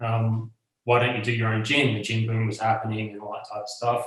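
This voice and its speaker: A man speaks at a medium pitch with an Australian accent. His voice is somewhat breathy, with monotone, flat intonation. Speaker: bar owner and rum brand co-owner. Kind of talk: interview. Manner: halting, many fillers.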